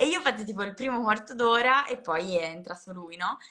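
Her voice has a bright, sharp tone, and the speaker is a woman. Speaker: comedian. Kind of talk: casual chat.

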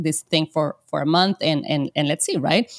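A woman in a Spanish accent at a fairly quick pace, with a dry, close sound and no echo. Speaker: podcast host, Amazon seller. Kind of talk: casual interview chat. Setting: video call.

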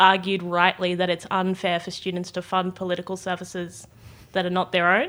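With an Australian accent, a woman talks at a fairly quick pace in a medium pitch. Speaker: youth political activist. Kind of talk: casual chat. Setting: studio.

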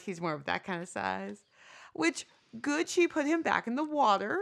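Recorded very cleanly over a silent background, a woman's voice swings very widely in pitch. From United States. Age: 40s. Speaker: podcast co-host. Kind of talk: casual chat.

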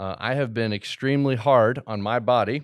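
Captured in a very clean recording with a silent background, a man uses an ordinary speaking voice at a moderate pace with ordinary pitch variation. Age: 40s. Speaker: podcast host. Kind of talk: casual monologue. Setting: studio.

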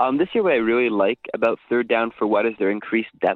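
At a fairly quick pace, the speaker uses an unremarkable speaking voice. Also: man. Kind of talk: casual chat about fantasy football. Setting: cottage call.

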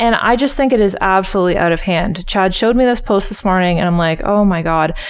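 Over noticeable background noise, a woman with a medium pitch talks very fast, her loudness very even and her pitch variation ordinary. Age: 30s. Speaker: podcast co-host, entrepreneur and photographer. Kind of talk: casual chat.

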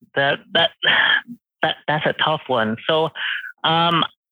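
A man with a fairly high pitch, speaking slowly. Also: ordinary pitch variation, dry, close sound with no echo.

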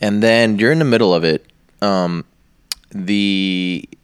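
Here is a man with an unremarkable speaking voice. His pitch is fairly low, with ordinary variation. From Egypt, moved to US as a child. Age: 30s. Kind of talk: casual chat. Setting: studio.

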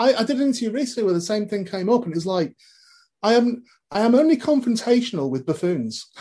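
Speaking at a very fast pace in a northwest English accent, a man uses a high pitch for a man, a dark, mellow tone and lively intonation. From northwest England. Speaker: comedy podcast co-host and film star. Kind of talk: casual interview. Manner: halting, many repeated words.

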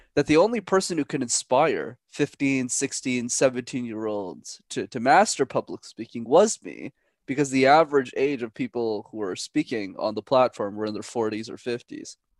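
Speaking with a Canadian accent, a man has an ordinary speaking voice at a medium pitch with ordinary pitch variation, a moderate pace and hardly any pauses, recorded dry and close with no echo against a quiet background. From Canada, Montreal. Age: 20s. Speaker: public speaking coach. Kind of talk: casual interview.

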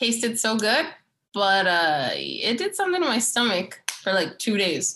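This woman has a bright, sharp tone and fairly high pitch with vocal fry, swinging very widely in pitch at a fairly slow pace with long, frequent pauses. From New Mexico, Santa Fe. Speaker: podcast co-host. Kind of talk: casual chat.

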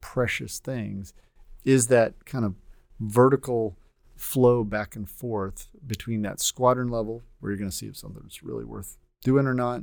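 With an American accent, a man talks fairly slowly in an unremarkable speaking voice at medium pitch with ordinary pitch variation, on a very clean recording with a silent background. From Texas. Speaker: air force general. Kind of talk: interview.

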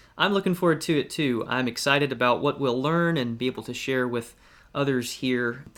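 This is a man with an unremarkable speaking voice at a medium pitch and ordinary pitch variation. He keeps a moderate pace on a very clean recording with a silent background. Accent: American. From Georgia, US South. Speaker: evangelist and podcast co-host. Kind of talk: Bible study discussion.

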